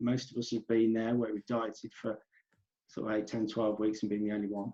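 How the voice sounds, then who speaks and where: A man with an English Midlands accent speaks at a medium pitch. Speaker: natural bodybuilder. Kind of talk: podcast interview.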